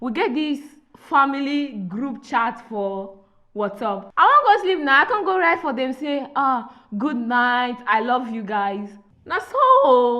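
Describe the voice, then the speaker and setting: A woman with a high pitch talks in a raised, projected voice, her bright, sharp tone carrying lively intonation at a fairly slow pace. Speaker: podcast host. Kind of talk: casual podcast conversation.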